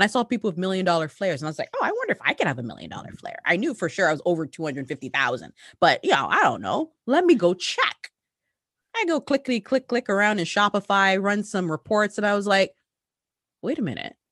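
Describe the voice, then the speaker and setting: The speaker talks at a very fast pace in an animated tone, with very wide pitch swings and vocal fry, over a quiet background. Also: woman, medium pitch for a woman. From Canada. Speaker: entrepreneur. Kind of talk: interview.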